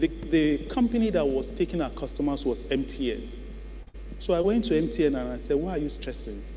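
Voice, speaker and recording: A man talks at a moderate speed while noticeable noise carries on behind him. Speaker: business founder and keynote speaker. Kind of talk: keynote speech.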